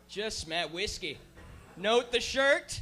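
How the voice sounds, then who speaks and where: With a raised, projected voice, a man sounds animated, his pitch swinging very widely. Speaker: podcast host. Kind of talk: live podcast banter. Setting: live show with audience.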